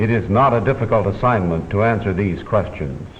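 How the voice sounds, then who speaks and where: A man speaks at a moderate pace in an ordinary speaking voice, his fairly low pitch carried by lively intonation. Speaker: newsreel commentator. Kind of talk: vintage documentary narration. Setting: studio.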